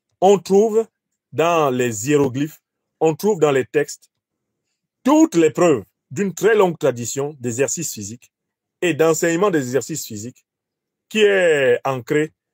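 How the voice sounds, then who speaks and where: In a Cameroonian accent, a man with a fairly high pitch talks at a fairly slow pace with lively intonation and long, frequent pauses, on a very clean recording with a silent background and a dry, close sound with no echo. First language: Bassa (speaking French). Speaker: professor and political commentator. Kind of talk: lecture.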